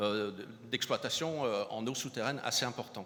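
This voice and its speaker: Using a southern French accent, a man speaks with a bright, sharp tone and ordinary pitch variation. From southern France, Montpellier. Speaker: hydrogeology researcher. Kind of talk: conference keynote. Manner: halting, many repetitions and hesitations.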